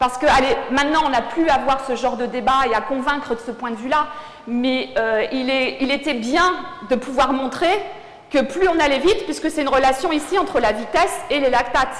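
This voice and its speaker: A high-pitched woman at a moderate pace with ordinary pitch variation, amid audible room echo and noticeable background noise. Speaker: sports physiologist. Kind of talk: lecture. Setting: conference hall with audience.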